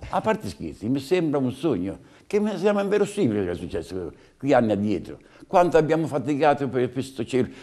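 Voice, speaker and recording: Very wide pitch swings and vocal fry run through a dark, mellow tone delivered at a very fast pace against a quiet background. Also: man. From Umbria. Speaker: veteran festival ceri bearer. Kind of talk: casual interview, storytelling. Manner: animated. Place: home room. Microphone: lapel.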